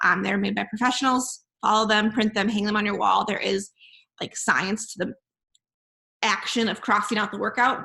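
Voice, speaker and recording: A woman speaks in a bright, sharp tone. Her intonation stays monotone and flat. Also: fairly high pitch for a woman. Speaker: fitness coach. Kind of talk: group call briefing. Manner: fast; casual, filler-heavy.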